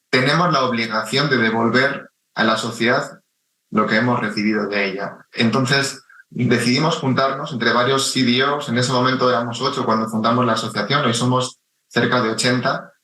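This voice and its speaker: In a Spanish accent, a man speaks at a moderate pace with a medium pitch and fairly even intonation. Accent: Spanish (Spain). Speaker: chief data officer. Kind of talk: radio interview.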